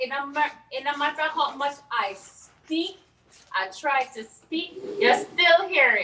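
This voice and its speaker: A woman's high, raised and projected voice with a strong Belizean accent, at a fairly slow pace. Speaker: event co-host. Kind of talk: live virtual event hosting. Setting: virtual broadcast.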